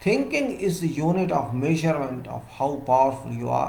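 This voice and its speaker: The voice is somewhat breathy, with lively intonation and audible room echo. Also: man. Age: 60s. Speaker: civil engineer giving professional talks. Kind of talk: solo lecture.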